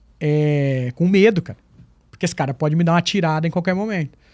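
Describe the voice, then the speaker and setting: A very fast, high-pitched man with ordinary pitch variation, on a very clean recording with a silent background. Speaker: school teacher. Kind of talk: casual chat. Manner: fluent, trained speech.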